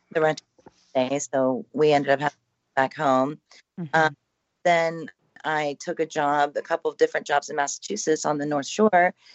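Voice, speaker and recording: The speech has ordinary pitch variation and long, frequent pauses. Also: woman, very deep, low pitch for a woman, moderate pace. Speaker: paranormal house owner. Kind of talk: casual interview chat. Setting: radio call-in, remote.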